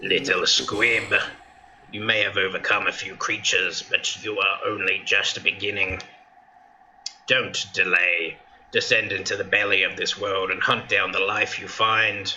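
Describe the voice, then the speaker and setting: At a moderate pace, a man talks in a put-on character voice. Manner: thoughtful, commanding.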